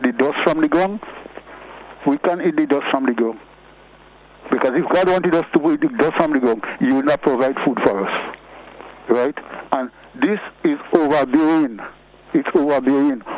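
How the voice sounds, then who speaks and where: Over noticeable background noise, a man with a Grenadian accent speaks at a moderate pace with fairly high pitch, ordinary pitch variation, very even loudness and long, frequent pauses. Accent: Grenadian Creole English. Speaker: caller. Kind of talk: call-in radio comment.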